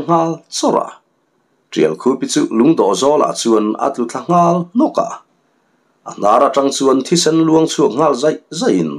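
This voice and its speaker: A very slow pace with very even loudness. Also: man. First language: Mizo (speaking Vietnamese). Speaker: story narrator. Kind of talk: reading aloud.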